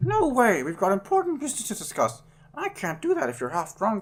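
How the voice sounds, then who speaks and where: A man puts on a character voice with a high pitch. He talks at a fairly quick pace. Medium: actual play. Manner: brisk, cheeky.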